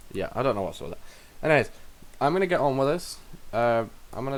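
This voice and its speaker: A man with a British accent speaks quietly. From United Kingdom. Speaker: game streamer. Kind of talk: live game-dev stream chat. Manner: halting, many fillers and restarts; quiet while focusing.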